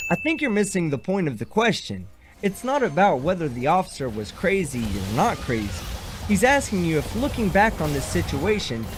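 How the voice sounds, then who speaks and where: Against noticeable background noise, a man with an American accent speaks with very wide pitch swings. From Texas. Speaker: reaction commentator. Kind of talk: reaction commentary.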